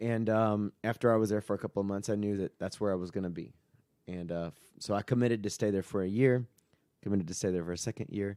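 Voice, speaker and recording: Dry and close with no echo, a man's fairly low, dark, mellow voice moves at a very fast pace with fairly even intonation. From US Southeast. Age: 30s. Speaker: pastor. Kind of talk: casual chat, personal testimony.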